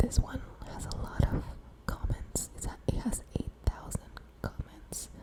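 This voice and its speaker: Whispering at a fairly slow pace, the speaker is heard over noticeable background noise. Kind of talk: ASMR whisper reading and rambling. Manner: whispered.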